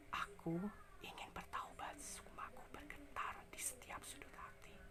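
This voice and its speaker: In a put-on character voice, someone whispers breathily at a fairly slow pace. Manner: whispering.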